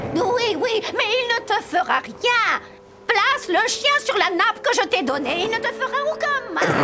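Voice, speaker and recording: A cartoonish character voice at an extremely high pitch and moderate pace, with clear music in the background. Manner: wheedling, then vicious.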